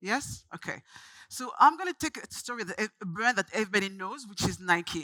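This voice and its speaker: Bright and sharp in tone, this voice in a French accent moves at a fairly quick pace with very wide pitch swings and a dry, close sound with no echo. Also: woman. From France, Paris. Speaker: branding agency founder, speaker. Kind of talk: conference talk. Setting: stage with audience.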